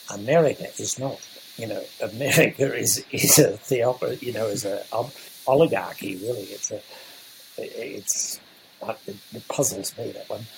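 Male speech at a fairly slow pace over noticeable background noise. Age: 80s+. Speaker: entrepreneur and mentor. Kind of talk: podcast interview.

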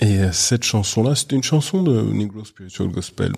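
A man speaks at a moderate pace with fairly low pitch, ordinary pitch variation and a somewhat breathy sound. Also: very clean recording, silent background. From France, Paris. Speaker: business founder and international speaker. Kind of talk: interview. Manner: animated.

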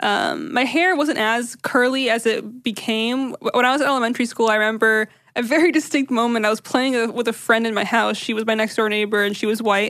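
A woman talks at a fairly quick pace with hardly any pauses. Her pitch varies in an ordinary way. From US, Syrian immigrant family. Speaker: podcast host. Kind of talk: casual chat.

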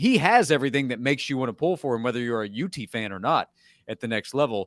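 A man with a plain, everyday voice and medium pitch speaks at a fairly quick pace, recorded very cleanly against a silent background with a dry, close sound and no echo. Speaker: college football analyst. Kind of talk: casual sports talk.

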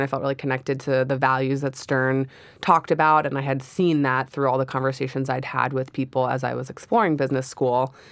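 Talking at a fairly quick pace, a woman with a very deep, low pitch and an American accent keeps her intonation fairly even. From Philadelphia, US. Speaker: MBA student and mother. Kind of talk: casual interview chat.

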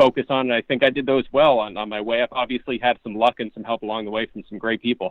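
A man speaks with a normal speaking voice at a medium pitch, with an American accent. His pace is fairly quick. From Pottsville, Pennsylvania. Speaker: fantasy football analyst. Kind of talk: casual interview.

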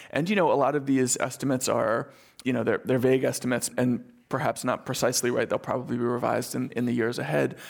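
This man talks at a medium pitch with fairly even intonation and some vocal fry. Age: 30s. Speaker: journalist and author. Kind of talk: interview conversation.

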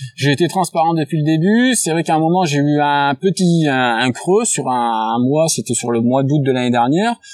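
Over noticeable background noise, the speaker talks at a moderate pace with lively intonation, very even loudness and hardly any pauses. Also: man, fairly high pitch for a man. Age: 30s. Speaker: sports betting tipster. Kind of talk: casual interview.

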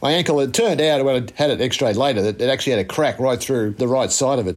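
A man with an Australian accent at a very fast pace, medium pitch and ordinary pitch variation. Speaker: former cricket fast bowler. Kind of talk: interview recollection.

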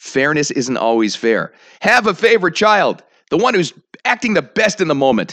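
The voice has an animated tone and very wide pitch swings, with some vocal fry. The background is quiet. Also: man. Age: 40s. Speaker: podcast host and morning radio host. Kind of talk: casual monologue.

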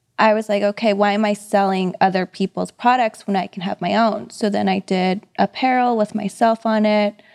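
In a normal speaking voice, a woman talks at a moderate pace and medium pitch with fairly even intonation and hardly any pauses, the sound dry and close with no echo against a quiet background. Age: 30s. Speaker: real estate agent. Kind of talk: casual interview chat.

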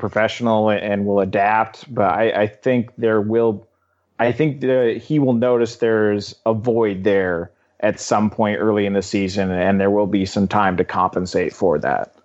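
A man with an ordinary speaking voice and a fairly low pitch talks at a moderate pace, his intonation fairly even and his loudness very even. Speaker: sports editor and writer. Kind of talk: casual chat. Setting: video call.

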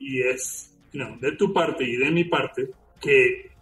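A man at a fairly slow pace with music in the background. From Venezuela. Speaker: digital forensic examiner. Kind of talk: interview.

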